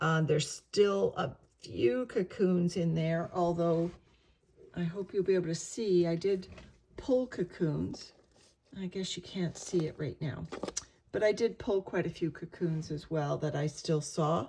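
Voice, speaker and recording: With a dark, mellow tone, a woman speaks somewhat breathily at a fairly low pitch with ordinary pitch variation. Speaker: worm farmer. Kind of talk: casual talk to camera.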